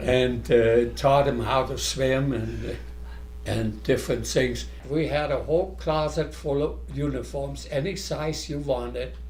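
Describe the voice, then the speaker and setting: A man speaks at a fairly slow pace with a German accent. Room echo is audible around his voice. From Germany. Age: 90s. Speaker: scout leader. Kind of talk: reminiscing interview.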